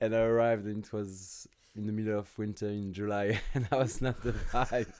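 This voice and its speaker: At a fairly quick pace, a man with a French accent speaks in a fairly low pitch with monotone, flat intonation and big swings in loudness. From France, small village. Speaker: fitness business owner. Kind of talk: podcast interview.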